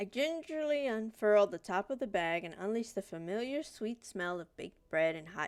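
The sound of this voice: The intonation is lively, carried by an unforced reading voice.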